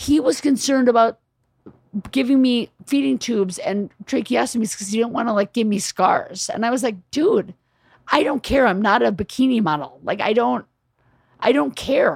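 Dry and close with no echo, a woman's fairly high voice shows vocal fry, lively intonation and a moderate pace. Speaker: writer and producer, comedian's wife. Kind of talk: casual chat. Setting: in a home.

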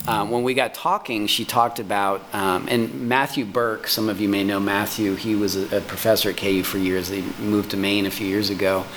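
At a fairly quick pace, a man with a fairly low pitch speaks with fairly even intonation amid noticeable background noise. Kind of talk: formal meeting discussion. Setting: video call meeting.

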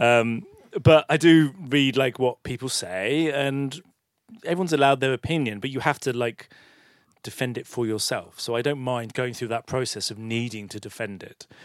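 A man with a normal speaking voice talks at a moderate pace and medium pitch, with ordinary pitch variation and big swings in loudness, in a dry, close sound with no echo. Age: 50s. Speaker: film director. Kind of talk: public onstage interview. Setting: stage with audience.

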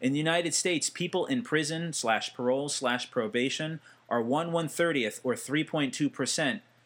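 Speaking at a fairly slow pace with an American accent, a man with an ordinary speaking voice uses lively intonation on a very clean recording against a silent background. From New Jersey. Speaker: podcast host. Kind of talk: solo commentary monologue.

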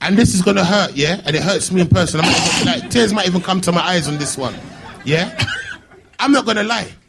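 At a very fast pace, a high-pitched man speaks with ordinary pitch variation, over noticeable background noise and audible room echo. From Birmingham, England. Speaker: internet comedian. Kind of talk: live panel chat. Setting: stage with audience. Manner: animated.

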